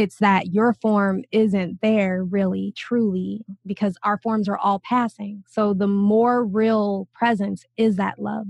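A woman speaks very slowly with hardly any pauses, her somewhat breathy, medium-pitched voice monotone and flat in a dry, close sound with no echo. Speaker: spiritual teacher, new podcast host. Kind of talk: casual conversation.

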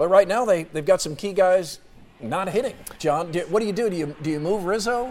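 Spoken at a fairly quick pace with ordinary pitch variation, over noticeable background noise. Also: man, high pitch for a man. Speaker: sports radio talk show host. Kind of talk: sports talk radio call-in show. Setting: radio studio.

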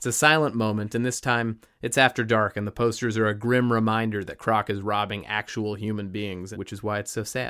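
A man with an American accent talks at a fairly quick pace in a bright, sharp tone. The recording is very clean, with a silent background. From US West Coast, Los Angeles (San Fernando Valley). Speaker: podcast host. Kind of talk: scripted narration; casual interview.

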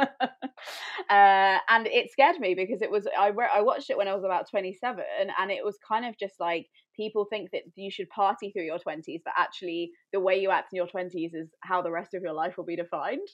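Her pace is fairly quick. The woman's medium pitch shows ordinary pitch variation. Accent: English Midlands. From England, Coventry. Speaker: YouTuber. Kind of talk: casual chat.

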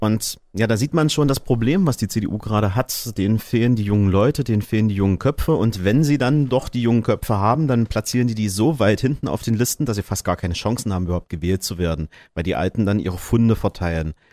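Speaking at a very fast pace with hardly any pauses, a man with fairly low pitch comes through on a very clean recording with a silent background. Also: ordinary pitch variation. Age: 30s. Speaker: radio host. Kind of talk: casual discussion.

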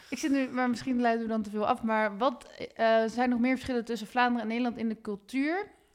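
A woman's high voice at a very fast pace. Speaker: podcast host. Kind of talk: interview. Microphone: sounds echoey.

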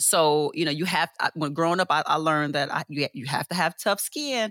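A woman with an American accent and a bright, sharp tone, at a fairly quick pace with lively intonation, in a very clean recording with a silent background and a dry, close sound with no echo. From Chicago, US Midwest. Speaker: UX architect and creative artist. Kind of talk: casual interview.

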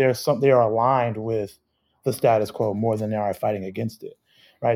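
A man with an unremarkable speaking voice and an American accent, fairly quick in pace, with ordinary pitch variation. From Chicago. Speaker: community organizer. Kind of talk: casual chat.

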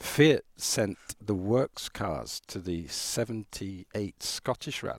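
With hardly any pauses, a man speaks at a very slow pace and a fairly low pitch, his intonation lively and the sound dry and close with no echo. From Ireland. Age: 50s. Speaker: rally photographer. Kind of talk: interview.

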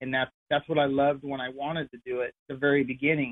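A man speaks at a fairly high pitch. His intonation is flat and monotone. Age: 40s. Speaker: retired sprint car racer. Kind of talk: casual interview. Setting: phone call.

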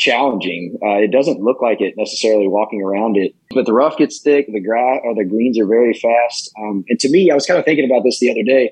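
A man speaks in an unremarkable speaking voice at a medium pitch. His pace is fairly quick, with ordinary pitch variation. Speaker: podcast co-host. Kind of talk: casual chat.

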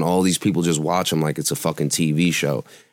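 A man with a New York accent in a very clean recording with a silent background. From New York City (Brooklyn). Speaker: music producer, studio owner. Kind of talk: casual interview. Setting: studio.

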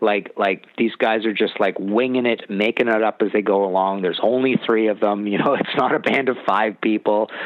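This man speaks in a Canadian accent at a fairly low pitch, with fairly even intonation, very even loudness and hardly any pauses. Noticeable background noise runs underneath. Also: moderate pace. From Canada. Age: 50s. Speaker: music author. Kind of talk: casual chat.

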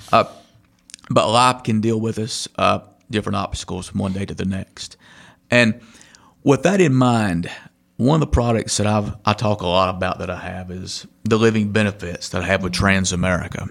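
A man's normal speaking voice, fairly low in pitch with ordinary variation, at a moderate pace, on a very clean recording with a silent background. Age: 40s. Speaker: podcast host and insurance agent. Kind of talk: casual interview.

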